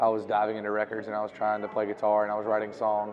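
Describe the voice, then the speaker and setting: Over music in the background, a man with a Southern US accent talks at a very fast pace in a fairly low pitch. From US South, North Carolina (Reidsville area). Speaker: musician. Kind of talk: interview.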